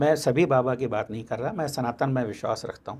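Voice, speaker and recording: Lively intonation marks this man's speech. His medium-pitched voice is somewhat breathy. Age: 70s. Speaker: mentalist and magician. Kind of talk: interview conversation.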